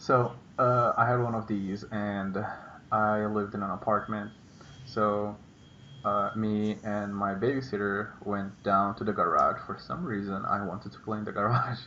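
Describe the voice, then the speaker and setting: Fairly low-pitched male voice with fairly even intonation over noticeable background noise. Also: moderate pace. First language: Portuguese. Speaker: vlogger. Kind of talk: casual chat. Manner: halting.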